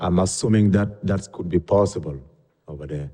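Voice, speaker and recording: A man with a non-native accent speaks in a very deep, low pitch. His tone is dark and mellow, with ordinary pitch variation. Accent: foreign. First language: not English. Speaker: permit applicant, equipment repair business owner. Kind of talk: public hearing testimony. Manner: halting.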